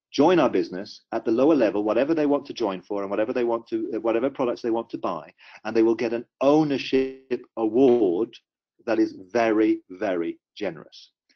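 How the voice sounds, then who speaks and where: Man with a British accent, medium pitch, ordinary pitch variation and a fairly quick pace. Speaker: company executive presenting compensation plan. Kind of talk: business webinar presentation. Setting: webinar call.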